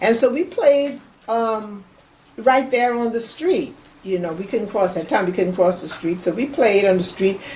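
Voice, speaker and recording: A somewhat breathy woman at fairly high pitch, with lively intonation and a moderate pace. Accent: American. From US South, Charleston, South Carolina. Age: 70s. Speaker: family elder interviewee. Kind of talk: oral history interview. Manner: halting.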